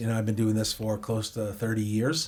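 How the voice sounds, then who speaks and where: A man with an American accent speaks at a medium pitch in a somewhat breathy voice. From Boston, US. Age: 50s. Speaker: chef and restaurant owner. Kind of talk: podcast interview. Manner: animated.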